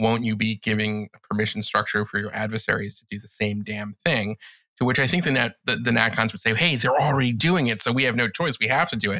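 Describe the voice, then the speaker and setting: Man at a very fast pace, medium pitch with ordinary variation, big swings in loudness, dry close sound with no echo, very clean recording with a silent background. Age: 50s. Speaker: political commentator. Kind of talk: casual chat.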